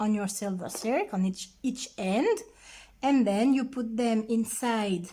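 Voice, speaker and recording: A somewhat breathy, dark, mellow voice with a non-native accent, ordinary pitch variation and a very slow pace. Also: woman. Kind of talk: craft tutorial.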